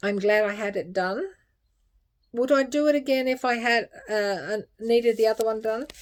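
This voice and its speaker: A woman with a fairly high pitch is heard in a very clean recording with a silent background. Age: 60s. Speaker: health vlogger. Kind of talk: personal video update. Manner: halting.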